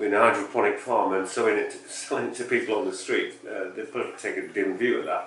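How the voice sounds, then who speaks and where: Speaking at a very fast pace with an English accent, a man is heard over noticeable background noise and audible room echo. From England (Yorkshire). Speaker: podcast co-host. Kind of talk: casual chat.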